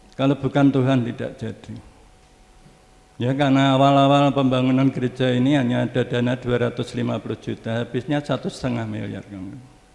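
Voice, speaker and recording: Monotone and flat in intonation, a man speaks at a moderate pace with a medium pitch. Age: 70s. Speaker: preacher. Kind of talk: sermon. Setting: church.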